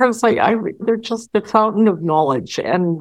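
A normal speaking voice with lively intonation over a quiet background. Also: woman. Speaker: academic and author. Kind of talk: interview recounting her life.

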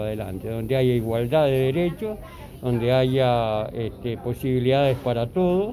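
Lively intonation from a medium-pitched man at a fairly slow pace, with music in the background. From Argentina. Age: 60s. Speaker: interviewee sharing views. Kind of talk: interview testimony. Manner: halting.

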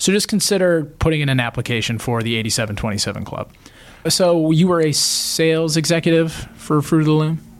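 The man's pitch is fairly high, and his intonation is lively. He keeps a moderate pace. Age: 30s. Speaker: podcast host. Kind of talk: casual interview. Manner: animated, laughing.

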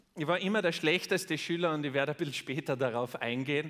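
Speaking at a fairly quick pace, a man with a fairly high pitch has an animated, bright, sharp tone on a very clean recording with a silent background. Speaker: podcast host and motivational speaker. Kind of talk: keynote speech. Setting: stage with audience.

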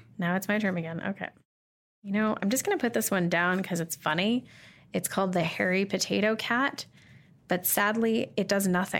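On a very clean recording with a silent background, a woman with a western Canadian accent keeps her loudness very even. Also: medium pitch for a woman, ordinary pitch variation, moderate pace. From Canada, Calgary. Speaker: social media marketing consultant. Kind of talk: casual interview while playing a board game.

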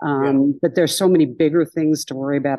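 Over a quiet background, a woman with a very deep, low pitch and a dark, mellow tone speaks at a moderate pace. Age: 60s. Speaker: comedian.

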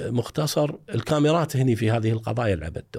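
The man's voice comes across as somewhat breathy. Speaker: retired forensic evidence expert. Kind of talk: interview.

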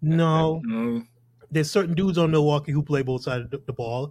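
Somewhat breathy, this man's voice sits fairly high in pitch and shows ordinary pitch variation. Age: 40s. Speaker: podcast host. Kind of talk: casual chat.

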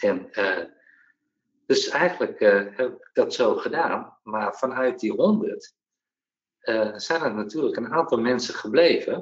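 A man at a very slow pace, with big swings in loudness. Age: 40s. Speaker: entrepreneur, former benefits agency employee. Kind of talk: interview. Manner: halting, many hesitations.

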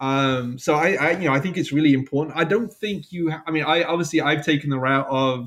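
This man talks at a fairly quick pace with a London accent and a fairly high pitch. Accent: southern English (London). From England. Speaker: software developer and side project maker. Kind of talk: casual interview. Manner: hesitant, many fillers and repeats.

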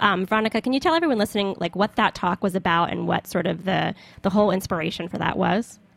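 Very fast speech from a woman with an American accent, medium in pitch with ordinary variation and vocal fry, dry and close with no echo. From US South. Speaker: podcast host. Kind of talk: casual interview. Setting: studio.

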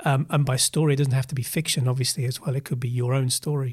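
A man with a southern English accent talks very fast at a medium pitch, his intonation fairly even and somewhat breathy. The recording is very clean with a silent background and a dry, close sound with no echo. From Essex and Oxfordshire, England. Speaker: creative director and agency founder. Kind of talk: casual interview.

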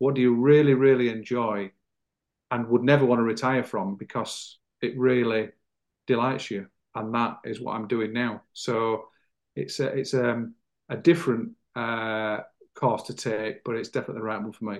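Speaking with a British accent at a moderate pace, a man of medium pitch uses fairly even intonation and takes long, frequent pauses. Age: 50s. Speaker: former counter-terrorism police officer, leadership consultant. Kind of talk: interview.

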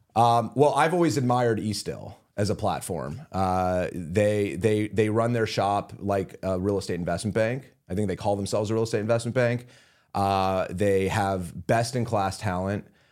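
The recording is very clean, with a silent background. It carries an ordinary speaking voice with an American accent, at a moderate pace and with ordinary pitch variation. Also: man, fairly low pitch for a man. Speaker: real estate investment executive. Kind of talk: interview. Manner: fillers and repeated words.

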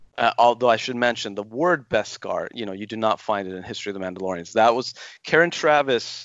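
Here is a man with an unremarkable speaking voice, fairly low in pitch with ordinary pitch variation. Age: 40s. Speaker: Star Wars writer. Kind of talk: interview.

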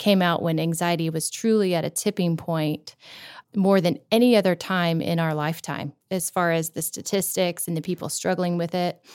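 A woman with a plain, everyday voice, fairly low in pitch, fairly even intonation, and a moderate pace, on a very clean recording with a silent background. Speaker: podcast co-host. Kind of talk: casual interview conversation.

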